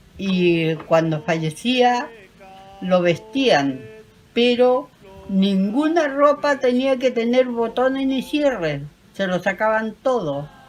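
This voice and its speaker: A woman at a fairly high pitch, with very wide pitch swings, a very slow pace and music in the background. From Chiloé, southern Chile. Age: 80s+. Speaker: elderly local interviewee on traditions. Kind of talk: interview recounting traditions.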